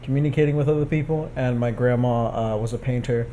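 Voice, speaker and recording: A man with a Spanish accent talks at a fairly quick pace, his medium pitch held in fairly even intonation. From Texas. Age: 20s. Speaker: photographer and artist. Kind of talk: interview. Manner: casual, with many fillers.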